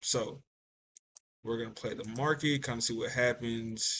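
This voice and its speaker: The speaker is a man with a medium-pitched voice. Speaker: day trader and trading educator. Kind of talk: tutorial. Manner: casual, filler-heavy; stumbles over words.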